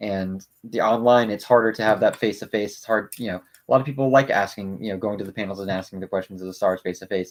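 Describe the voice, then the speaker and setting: A man mumbling at a very fast pace, fairly low in pitch, with fairly even intonation and hardly any pauses. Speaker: YouTube co-host building Lego. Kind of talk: casual chat.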